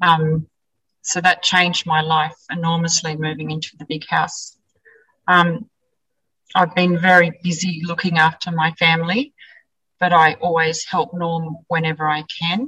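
With an Australian accent, a woman speaks in a fairly low voice with fairly even intonation. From central west New South Wales, Australia. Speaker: sheep farmer. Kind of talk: interview.

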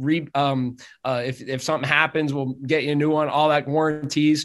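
With a northeastern Pennsylvania accent, a man speaks in a fairly high pitch with fairly even intonation. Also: quiet background. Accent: northeastern Pennsylvania American. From northeastern Pennsylvania (Drums, near Hazleton). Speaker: optometrist. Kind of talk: interview conversation.

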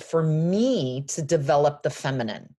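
A woman speaks at a very deep, low pitch with lively intonation. Her pace is very slow. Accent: American. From Los Angeles, US. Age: 40s. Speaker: fashion brand founder. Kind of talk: interview.

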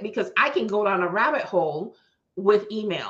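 A woman speaks at a moderate pace in an animated way. Her tone is bright and sharp. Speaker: podcast host, business consultant. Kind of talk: casual chat, sassy educational podcast. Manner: animated, chipper.

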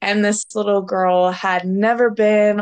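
Fairly slow, flat monotone delivery in an American accent, over a quiet background. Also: woman. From southern Florida. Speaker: former theme park ride operator. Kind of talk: casual interview.

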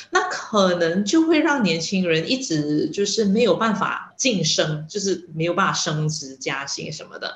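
The speech comes at a fairly slow pace, with noticeable background noise in the recording. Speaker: journalism lecturer. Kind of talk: interview. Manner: hesitant with fillers.

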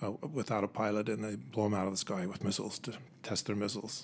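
With an American accent and a plain, everyday voice, a man talks at a fairly quick pace in a fairly low pitch with fairly even intonation. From Utah, Utah County (Provo/Orem). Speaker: retired Air Force officer. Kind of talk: casual interview.

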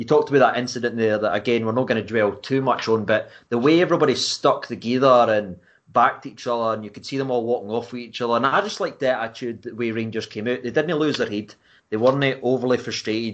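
Against a quiet background, a man with a Scottish accent speaks very fast with ordinary pitch variation. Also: medium pitch for a man. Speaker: football fan blogger. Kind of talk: casual chat.

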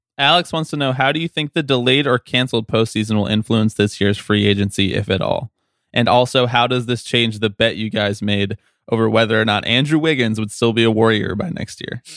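Speaking in a plain, everyday voice, a man moves at a fairly quick pace. His pitch is medium, with ordinary variation. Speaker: podcast producer reading listener questions. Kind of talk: reading listener mail on a sports podcast.

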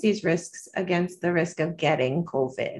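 In an American accent, a somewhat breathy voice moves at a moderate pace with lively intonation. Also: woman. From US South, North Carolina. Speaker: pediatrician. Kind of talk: interview. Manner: hesitant with many fillers.

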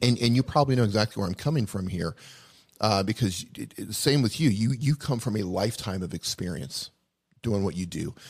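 A man with a plain, everyday voice speaks at a fairly low pitch, his intonation lively. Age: 40s. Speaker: YouTube video educator. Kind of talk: casual chat. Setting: live stream.

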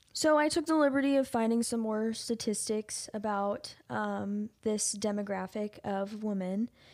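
The recording is very clean, with a silent background. A woman with a plain, everyday voice speaks at a fairly slow pace, her fairly high pitch showing ordinary variation. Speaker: podcast co-host. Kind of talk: true crime podcast discussion.

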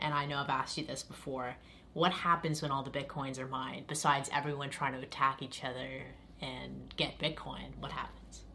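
Amid audible room echo, a woman with a very deep, low pitch, vocal fry and a bright, sharp tone speaks at a fairly quick pace in a monotone, flat way. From Toronto, Canada. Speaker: host's girlfriend reading listener questions. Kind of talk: casual chat.

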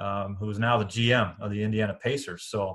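In a very clean recording with a silent background, a man with a Midwestern American accent talks at a fairly low pitch with fairly even intonation. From Iowa, Des Moines. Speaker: college basketball coach. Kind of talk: casual interview.

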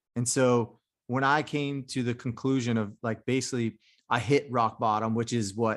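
A man talks at a moderate pace in a plain, everyday voice. His pitch is medium, and the background is quiet. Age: 30s. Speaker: Marine Corps combat veteran, coach and author. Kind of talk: casual chat.

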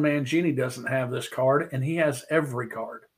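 Somewhat breathy, a man with an American accent talks at a moderate pace with fairly even intonation. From Missouri, US. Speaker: sports card collector and YouTuber. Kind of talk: casual interview chat, storytelling. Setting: video call. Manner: good orator, storyteller.

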